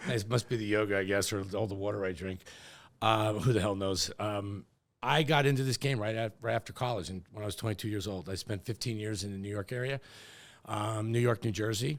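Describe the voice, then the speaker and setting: In an ordinary speaking voice, a man talks at a fairly quick pace with a fairly low pitch. His intonation is fairly even, on a very clean recording with a silent background. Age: 60s. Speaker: real estate executive. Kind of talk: podcast interview.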